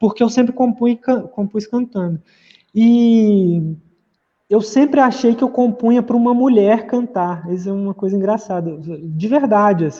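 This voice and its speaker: A man speaks at a high pitch in a dark, mellow tone. His pace is fairly slow, with ordinary pitch variation. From Minas Gerais, Brazil. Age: 30s. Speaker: pianist and singer-songwriter. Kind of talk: interview. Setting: video call. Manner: halting.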